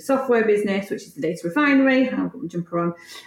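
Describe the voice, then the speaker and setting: A woman with a Yorkshire accent, noticeable background noise behind her. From Yorkshire, Leeds. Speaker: tech entrepreneur. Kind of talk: interview.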